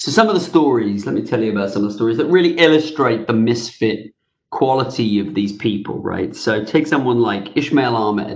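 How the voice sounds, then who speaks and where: An unremarkable speaking voice, fairly quick in pace, with ordinary pitch variation. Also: man. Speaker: author and fintech veteran. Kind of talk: interview answers.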